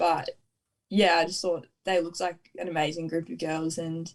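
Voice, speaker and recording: A woman's fairly low voice at a fairly quick pace, with an Australian accent. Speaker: netball player. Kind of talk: interview. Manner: laid back.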